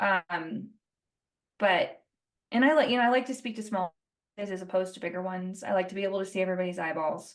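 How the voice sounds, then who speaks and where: An American-accented woman talks in a medium-pitched voice at a very fast pace. Long pauses break up her speech often. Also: ordinary pitch variation. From Colorado, US. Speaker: rancher and speaker. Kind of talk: podcast interview. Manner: animated.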